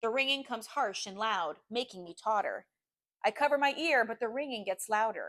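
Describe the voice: Plain reading aloud, with ordinary pitch variation and a quiet background.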